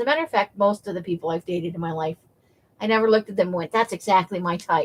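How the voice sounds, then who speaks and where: A woman talks at a very fast pace. The sound is dry and close, with no echo. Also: medium pitch for a woman, ordinary pitch variation. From United States, military family. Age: 50s. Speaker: craft livestreamer. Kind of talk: casual chat. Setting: livestream.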